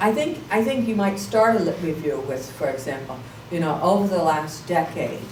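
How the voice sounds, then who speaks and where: At a moderate pace, the voice swings very widely in pitch, with audible room echo and noticeable background noise. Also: woman, fairly low pitch for a woman. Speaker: professor. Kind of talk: lecture.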